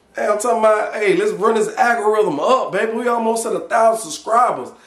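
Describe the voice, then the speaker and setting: Audible room echo surrounds a man whose extremely high pitch and animated tone move with ordinary pitch variation. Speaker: cooking YouTuber. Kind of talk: casual cooking vlog. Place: kitchen. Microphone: phone near.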